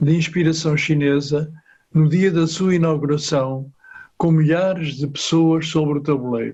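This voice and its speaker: A man speaks at a fairly slow pace with a fairly high pitch. His intonation is fairly even and his voice somewhat breathy. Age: 80s+. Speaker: retired police officer, audience participant. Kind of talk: prepared audience comment.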